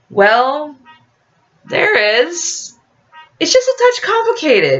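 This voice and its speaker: A put-on character voice speaks at a very slow pace with an extremely high pitch and very wide pitch swings. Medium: read story. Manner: casual, cocky.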